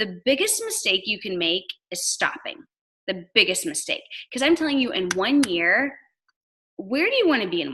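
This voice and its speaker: A woman's raised, projected, high voice, bright and sharp in tone and animated, with very wide pitch swings and long, frequent pauses. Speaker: network marketing top earner. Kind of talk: motivational talk. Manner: fast.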